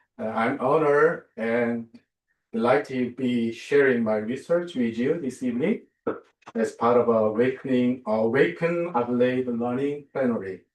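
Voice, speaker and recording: A man with a Korean accent, medium pitch, ordinary pitch variation, and a moderate pace. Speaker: theology professor and minister. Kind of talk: lecture. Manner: halting, many fillers.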